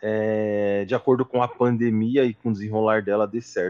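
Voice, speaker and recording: Heard in a dry, close sound with no echo, a plain, everyday voice moves at a fairly slow pace with ordinary pitch variation. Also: man. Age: 20s. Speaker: sales executive, student association member. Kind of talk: casual interview.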